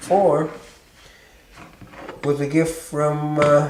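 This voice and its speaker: Noticeable background noise runs behind a man speaking at a fairly high pitch. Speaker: master carver. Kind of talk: documentary interview.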